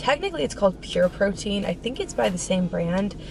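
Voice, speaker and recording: Through noticeable background noise, a woman at medium pitch speaks at a moderate pace with ordinary pitch variation. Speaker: fitness vlogger. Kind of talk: casual vlog talk to camera.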